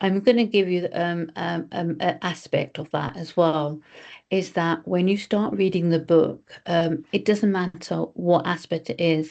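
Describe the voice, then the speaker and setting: Over a quiet background, a woman talks at a fairly slow pace in an ordinary speaking voice. Her pitch is fairly low, with ordinary variation. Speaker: spiritual study group leader. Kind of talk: group teaching on video call.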